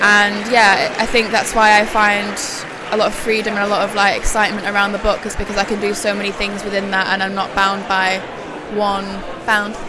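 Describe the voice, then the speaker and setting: Flat and monotone, a woman talks at a fairly quick pace. Noticeable background noise is heard. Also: medium pitch for a woman. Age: 20s. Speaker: curator. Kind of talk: casual interview. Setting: live event at a book fair.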